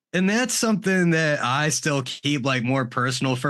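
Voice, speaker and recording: A man's bright, sharp voice at a moderate pace, ordinary pitch variation, quiet background. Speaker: audio producer and reaction video creator. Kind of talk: casual interview chat. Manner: loud.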